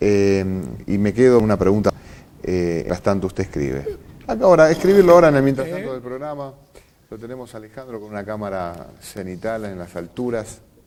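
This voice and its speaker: There is noticeable background noise. Through it, a man speaks with very wide pitch swings. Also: fairly low pitch for a man, fairly quick pace. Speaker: TV interview host. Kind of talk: interview.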